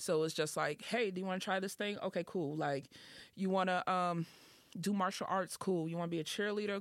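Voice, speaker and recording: A woman speaks at a fairly quick pace and medium pitch. The recording is very clean, with a silent background. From Boston, Dorchester. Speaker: rapper. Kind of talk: casual podcast interview.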